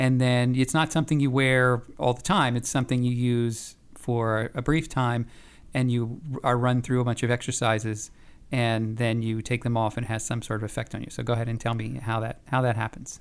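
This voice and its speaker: A man with an American accent has a plain, everyday voice, speaking at a moderate pace in a medium pitch with fairly even intonation against a quiet background. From US. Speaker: communications director and interviewer. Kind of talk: interview. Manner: casual, conversational.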